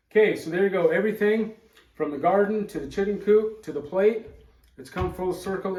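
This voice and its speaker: Over noticeable background noise, a man talks at a fairly quick pace with a high pitch and a relaxed tone. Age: 60s. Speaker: homesteader. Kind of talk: cooking tutorial. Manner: casual, relaxed with fillers.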